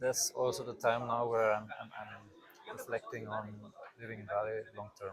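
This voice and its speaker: A man speaks at a moderate pace and a medium pitch with monotone, flat intonation. His loudness swings widely, and background noise is noticeable. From Austria (rural mountain area). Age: 20s. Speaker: expectant father, podcast guest. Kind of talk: casual interview conversation. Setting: outdoors in a pool. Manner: halting, many fillers.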